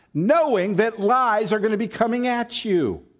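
An American accent on a very clean recording with a silent background. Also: man. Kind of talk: sermon. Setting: church.

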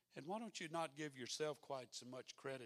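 Speaking at a moderate pace with a slight Mississippi accent, a man is recorded with a dry, close sound and no echo. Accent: Mississippi brogue, slight. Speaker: pastor. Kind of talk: sermon. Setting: church.

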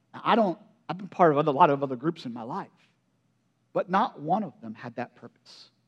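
A man with an American accent and a fairly high voice speaks fairly quickly, with lively intonation and big swings in loudness. Long, frequent pauses break up his speech over a quiet background. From Pennsylvania, Perry County. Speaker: pastor. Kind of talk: sermon.

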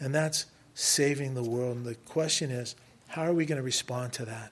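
The speaker sounds somewhat breathy, with an American accent. Delivery is fairly quick and monotone, with flat intonation. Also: man. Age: 60s. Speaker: missionary. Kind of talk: sermon. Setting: church.

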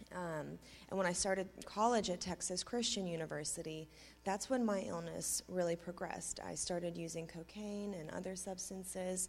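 Music plays in the background as a woman speaks at a moderate pace. Her intonation is fairly even. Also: fairly low pitch for a woman. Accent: American. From US, Tulsa (adopted from Russia at six). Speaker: recovering addict. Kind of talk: personal testimony. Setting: church stage with congregation.

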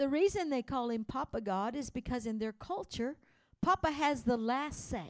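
A woman talks at a moderate pace. The sound is dry and close, with no echo. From Louisiana, Cajun. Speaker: missionary. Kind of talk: sermon. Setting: church. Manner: animated.

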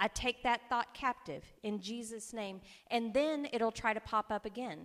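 A woman with an ordinary speaking voice and a fairly high pitch speaks at a moderate pace. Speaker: preacher. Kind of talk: sermon. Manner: warm, conversational, humorous.

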